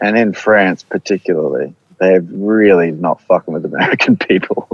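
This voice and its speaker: Moderate-paced speech from a man in a New Zealand accent. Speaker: band musician, podcast guest. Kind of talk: casual chat.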